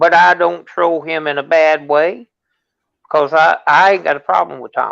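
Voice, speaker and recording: A man with a normal speaking voice, fairly high in pitch, at a fairly slow pace. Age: 60s. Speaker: livestream guest. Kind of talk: casual chat.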